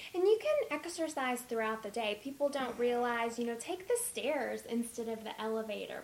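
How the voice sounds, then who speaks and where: Speech at a moderate pace with ordinary pitch variation, set against noticeable background noise. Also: woman. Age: 20s. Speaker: dietitian. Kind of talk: interview.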